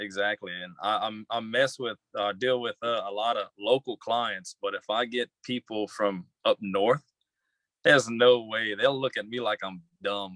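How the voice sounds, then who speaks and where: A man speaks in a Southern Louisiana accent at a fairly slow pace, with a medium pitch and fairly even intonation. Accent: Southern Louisiana accent, noticeable. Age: young. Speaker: young entrepreneur. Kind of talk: interview. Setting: livestream. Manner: halting.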